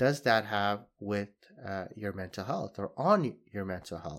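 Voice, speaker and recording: A man speaks at a fairly slow pace with a Canadian accent. The recording is very clean, with a silent background. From Saudi Arabia (Jeddah) to age 12, then Canada. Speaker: podcast host and social worker. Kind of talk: solo reflective podcast monologue. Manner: frequent fillers and hesitations.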